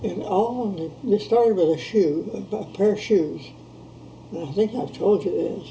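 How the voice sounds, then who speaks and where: Speaking at a fairly slow pace, a woman with a medium pitch uses ordinary pitch variation against noticeable background noise. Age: old. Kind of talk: interview answer.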